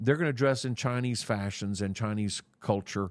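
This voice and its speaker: A man with an American accent and an ordinary speaking voice, fairly low in pitch, at a fairly quick pace over a quiet background. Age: 60s. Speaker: church leader. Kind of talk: interview.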